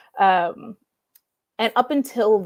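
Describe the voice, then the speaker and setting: A woman's plain, everyday voice with an American accent, fairly high in pitch, with lively intonation. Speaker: comic book writer. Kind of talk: interview.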